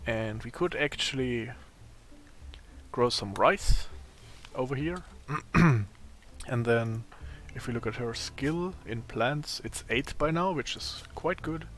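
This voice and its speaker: Speaking very slowly with long, frequent pauses, a man with a German accent holds a medium pitch and ordinary pitch variation. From Germany. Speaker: gaming youtuber. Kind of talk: let's play commentary.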